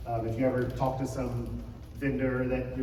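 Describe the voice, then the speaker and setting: A man is speaking amid noticeable background noise. The room echo is audible. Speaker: conference speaker on church IT wireless. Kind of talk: conference talk. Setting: stage with audience. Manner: casual, filler-heavy.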